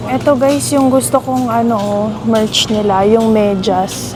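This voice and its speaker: With noticeable background noise around her, a woman speaks at a fairly high pitch with lively intonation. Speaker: vlogger. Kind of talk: travel vlog narration. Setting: outdoors at night, then in a convenience store. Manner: soft-spoken, lowered voice.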